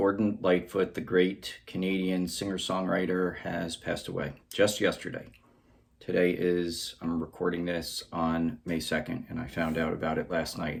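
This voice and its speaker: A man's very deep, low voice with an American accent and fairly even intonation. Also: moderate pace. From United States. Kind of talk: casual talk to camera.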